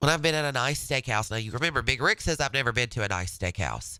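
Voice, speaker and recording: In a very clean recording with a silent background, a man with a medium pitch and a bright, sharp tone talks at a fairly quick pace, his lively intonation touched by vocal fry. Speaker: radio host. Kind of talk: casual chat.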